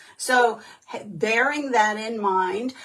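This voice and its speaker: A woman's fairly high voice at a very slow pace, with noticeable background noise. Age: 60s. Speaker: direct sales consultant. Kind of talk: livestream talk. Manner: halting, many fillers.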